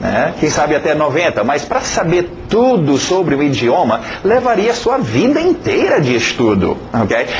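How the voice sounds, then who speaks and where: A man speaks at a high pitch and a fairly slow pace, with very wide pitch swings, very even loudness and hardly any pauses. Noticeable background noise and audible room echo fill the recording. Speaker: English teacher. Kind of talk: lecture. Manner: halting, many fillers.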